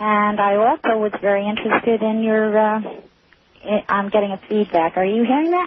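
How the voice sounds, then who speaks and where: Over noticeable background noise, a woman talks at a moderate pace and fairly high pitch with ordinary pitch variation. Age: 60s. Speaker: caller. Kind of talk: call-in radio conversation. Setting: phone call. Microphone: caller hears feedback on the line.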